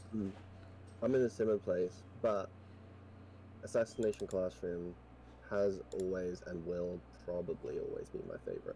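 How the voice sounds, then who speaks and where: A man's fairly low voice, dark and mellow in tone and somewhat breathy, at a moderate pace broken by long, frequent pauses. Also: ordinary pitch variation. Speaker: streamer guest. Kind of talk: casual chat.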